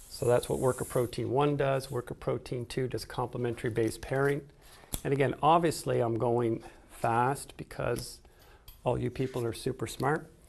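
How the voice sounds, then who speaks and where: A man speaks at a moderate pace with a medium pitch and vocal fry. His intonation is monotone and flat. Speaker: biology teacher trainer. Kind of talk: tutorial.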